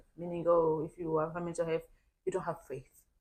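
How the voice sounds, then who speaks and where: A woman with a fairly low voice speaks with an African accent. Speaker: podcast co-host. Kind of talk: casual chat. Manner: halting.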